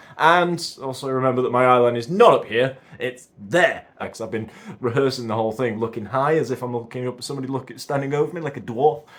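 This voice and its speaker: A man at a very fast pace, medium pitch and ordinary pitch variation, over noticeable background noise. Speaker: amateur actor. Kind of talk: casual talk to camera.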